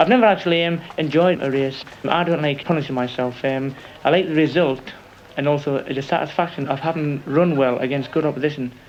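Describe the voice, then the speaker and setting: There is noticeable background noise as a man talks. His pace is fairly quick and his intonation fairly even. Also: fairly high pitch for a man. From northern England, Morpeth, Northumberland (born Glasgow). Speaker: marathon runner. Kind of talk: interview testimony. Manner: hesitant, many ums and repeats.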